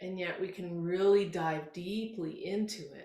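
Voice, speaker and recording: A woman at medium pitch speaks in a gentle, dark, mellow tone that is somewhat breathy, with ordinary pitch variation and audible room echo. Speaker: yoga instructor. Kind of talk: guided yoga class instruction. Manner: slow, gentle.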